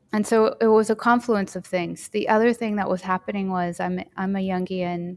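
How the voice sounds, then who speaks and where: A woman talks in an unremarkable speaking voice at a moderate pace. Her medium pitch follows fairly even intonation. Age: 40s. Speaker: Jungian somatics teacher. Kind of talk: interview conversation.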